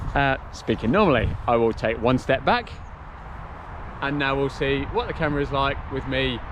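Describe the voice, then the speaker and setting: A man's fairly high voice in an English accent at a moderate pace, with noticeable background noise. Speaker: travel vlogger. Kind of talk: casual vlog commentary. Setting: outdoors. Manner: quieter voice close to camera. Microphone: camera mic, some distortion.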